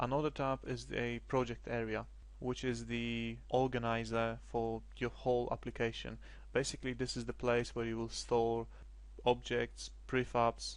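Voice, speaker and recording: A man with a non-native accent against a quiet background. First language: not English. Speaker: game development tutorial creator. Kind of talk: screencast tutorial. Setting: screen recording at computer. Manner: hesitant, many fillers.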